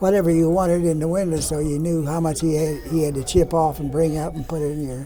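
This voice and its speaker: Very fast and with hardly any pauses, a man speaks at a fairly high pitch in a monotone, flat way. Noticeable background noise and audible room echo fill the recording. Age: 90s. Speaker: World War II veteran. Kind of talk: casual interview. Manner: halting.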